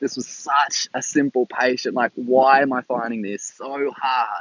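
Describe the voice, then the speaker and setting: With an Australian accent, a man is speaking. He goes at a fairly slow pace. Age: 20s. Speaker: new graduate ICU nurse. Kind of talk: solo podcast monologue. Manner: halting, many fillers.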